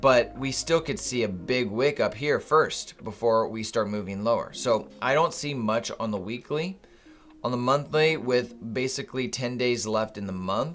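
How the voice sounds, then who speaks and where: Here a man speaks at a moderate pace and medium pitch. His voice is a plain, everyday voice with ordinary pitch variation. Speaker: day trading streamer. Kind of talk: live trading stream commentary.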